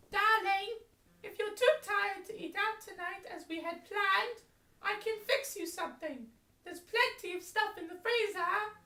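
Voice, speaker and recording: A woman uses a squeaky, put-on character voice at an extremely high pitch, with ordinary pitch variation and a moderate pace. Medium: audio drama. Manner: fussing, calls everyone darling.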